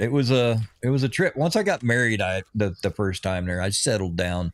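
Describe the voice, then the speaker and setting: A man speaks in a normal speaking voice at medium pitch and a moderate pace, with lively intonation and a dry, close sound with no echo on a very clean recording with a silent background. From US, Oregon and Missouri. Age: 60s. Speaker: gaming streamer, retired Navy veteran. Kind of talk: casual livestream chat while gaming. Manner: relaxed, rambling with self-repeats.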